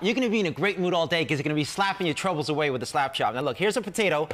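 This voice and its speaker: An energetic man with a Boston accent speaks over music in the background. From Boston area. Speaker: TV pitchman. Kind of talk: infomercial sales pitch. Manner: fast, energetic. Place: kitchen. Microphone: headset.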